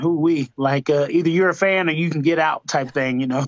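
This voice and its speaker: With an American accent and an ordinary speaking voice, a man talks at a moderate pace with fairly even intonation. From Georgia, US South. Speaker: MMA fighter. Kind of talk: interview.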